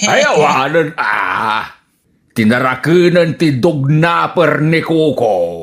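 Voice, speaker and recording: Speaking very slowly, a man performs a put-on character voice. His pitch sits fairly high. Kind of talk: comic radio drama acting. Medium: audio drama. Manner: whiny, complaining.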